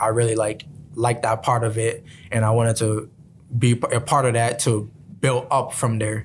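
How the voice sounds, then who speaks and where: With a mid-range pitch and a moderate speed, a man is talking. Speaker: college sprinter. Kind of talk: interview. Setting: radio studio. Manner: halting, filler-heavy.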